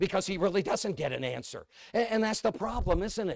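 At a fairly quick pace, a speaker with a New England accent sounds animated, with ordinary pitch variation and a dry, close sound with no echo. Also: man. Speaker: evangelist preacher. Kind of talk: sermon.

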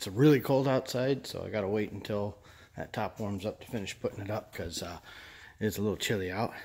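Speech comes at a fairly quick pace with ordinary pitch variation. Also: man. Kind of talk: casual vlog chat. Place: garage. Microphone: phone near.

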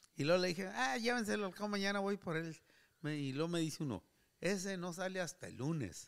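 A man speaks in a high pitch with very wide pitch swings at a fairly quick pace. The background stays quiet. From Durango, Mexico. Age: 70s. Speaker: retired worker, host's uncle; host's uncle. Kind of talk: casual interview chat. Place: home room. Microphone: studio mic.

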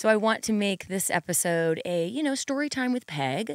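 Against a quiet background, a woman talks at a moderate pace in a dry sound with no echo. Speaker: podcast host, fitness trainer. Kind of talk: podcast monologue to listeners. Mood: warm, grateful, enthusiastic. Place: studio. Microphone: studio mic.

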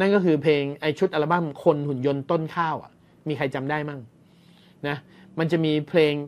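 A plain, everyday voice from a man, fairly high in pitch with fairly even intonation. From Thailand. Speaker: podcast host. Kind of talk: casual storytelling monologue.

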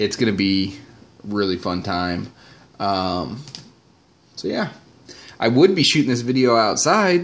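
A man talks at a very slow pace. His speech has long, frequent pauses. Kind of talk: casual vlog chat. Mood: upbeat, excited about trip. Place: home room.

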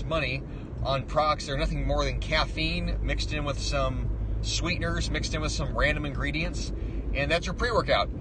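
A man talks at a fairly quick pace. The sound is dry with no echo, though there is noticeable background noise. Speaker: fitness vlogger. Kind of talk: casual vlog rant. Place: car. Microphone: phone near.

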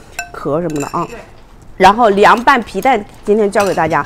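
Very wide pitch swings at a fairly quick pace, over light background noise. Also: woman. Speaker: livestream food seller and mukbang host. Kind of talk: rapid-fire livestream sales pitch hawking snacks between bites, pushing price cuts. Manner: fast, pushy pitchman patter repeating prices and slogans; chummy and coaxing, constantly calling viewers babies. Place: home room. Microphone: lapel.

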